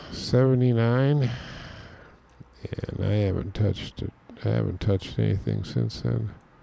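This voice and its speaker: Here a man with fairly low pitch speaks at a moderate pace, leaving long, frequent pauses. His pitch swings very widely. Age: 60s. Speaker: music producer, tutorial maker. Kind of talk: tutorial with casual chat. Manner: casual, rambling with fillers.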